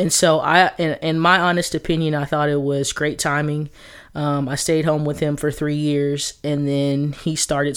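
Speaking with an American accent, a woman uses a very deep, low pitch and a monotone, flat intonation. She talks at a fairly slow pace on a very clean recording with a silent background. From Texas. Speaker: podcast host. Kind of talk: solo podcast monologue.

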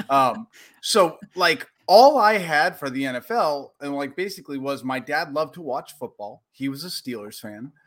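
A man with a plain, everyday voice and an American accent talks at a moderate pace with a fairly high pitch, lively intonation and big swings in loudness. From Portland, Oregon. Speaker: sports podcaster. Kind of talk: casual chat.

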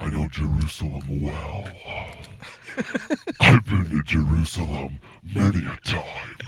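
A man speaks in a put-on character voice with a very deep, low pitch and a sinister tone, at a fairly slow pace with long, frequent pauses. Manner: sinister comedic.

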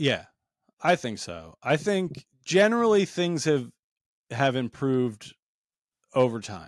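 In a very clean recording with a silent background, a man with an American accent sounds dry and close, with no echo. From New Jersey. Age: 40s. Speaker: comedian. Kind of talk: casual chat.

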